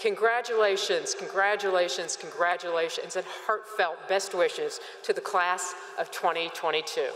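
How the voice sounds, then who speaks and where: In a room with audible echo, a woman talks at a fairly slow pace in a warm tone. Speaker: university president. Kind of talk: commencement address and ceremony presiding. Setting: stadium with audience. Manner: formal, warm, with light humor. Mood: warm, celebratory. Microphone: podium.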